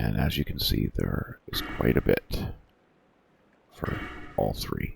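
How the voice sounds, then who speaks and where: Soft-spoken and relaxed in tone, a man talks over noticeable background noise. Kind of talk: ASMR-style soft-spoken gaming tutorial. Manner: soft-spoken, relaxed, with frequent filler words.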